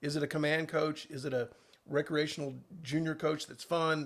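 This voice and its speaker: A man is speaking. His voice sits fairly high in pitch. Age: 60s. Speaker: tennis coach. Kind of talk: interview. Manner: halting.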